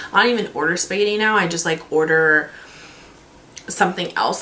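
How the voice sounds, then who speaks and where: A woman with an American accent at a moderate pace, amid audible room echo and noticeable background noise. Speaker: beauty vlogger, makeup artist. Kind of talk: casual vlog monologue. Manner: casual, filler-heavy.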